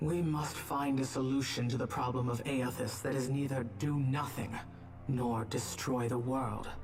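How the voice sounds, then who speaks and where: A put-on character voice sits at a low-to-middle pitch and moves at a moderate pace. Loud background noise fills the clip. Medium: video game. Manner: stern, cold, disdainful.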